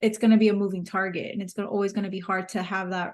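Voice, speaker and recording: A woman's medium-pitched voice with a Miami accent. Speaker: podcast host and business coach. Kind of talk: interview conversation.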